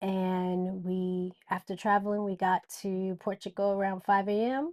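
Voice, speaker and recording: At a fairly slow pace, a woman speaks at medium pitch with monotone, flat intonation, the sound dry and close with no echo. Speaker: podcast co-host. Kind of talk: casual chat. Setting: on a cruise ship at sea. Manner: loud.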